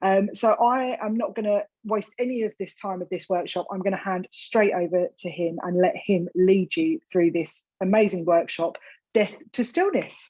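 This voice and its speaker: With an Essex accent, a woman of medium pitch and dark, mellow tone speaks at a moderate pace with ordinary pitch variation and hardly any pauses, in a dry, close sound with no echo. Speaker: event host. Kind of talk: event introduction.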